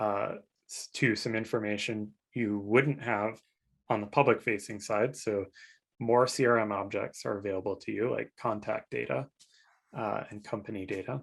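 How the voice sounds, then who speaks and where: A man speaks in a normal speaking voice at a fairly low pitch. His intonation is fairly even at a moderate pace over a quiet background. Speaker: developer advocate. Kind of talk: live Q&A panel. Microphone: video call.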